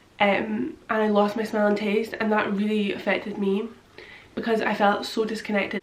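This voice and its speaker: A woman speaks with a British accent. The room echo is audible and background noise is noticeable. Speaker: vlogger. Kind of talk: personal testimony vlog. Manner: halting.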